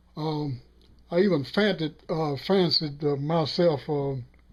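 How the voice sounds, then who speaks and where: This man's voice sits fairly high in pitch. It shows ordinary pitch variation. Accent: Southern US. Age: 60s. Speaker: sportswriter. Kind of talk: interview answer.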